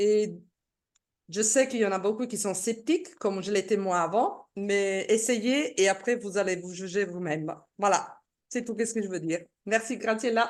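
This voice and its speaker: A woman with an Italian accent speaks at a fairly slow pace in a medium pitch. Her pitch varies in an ordinary way against a quiet background. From Italy. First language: Italian (speaking French). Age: 60s. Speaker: product seller giving testimony. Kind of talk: testimony. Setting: video call. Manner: halting.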